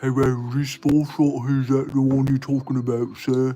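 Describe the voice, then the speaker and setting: Putting on a character voice in an English accent, a man speaks at medium pitch and a moderate pace, with monotone, flat intonation and very even loudness. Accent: English, exaggerated. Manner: mocking.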